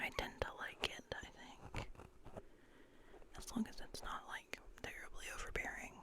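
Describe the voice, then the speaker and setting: A woman whispering at a fairly slow pace with long, frequent pauses, over noticeable background noise. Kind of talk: ASMR whisper ramble. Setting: close-up microphone, mic touching and brushing. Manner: whispered, soft.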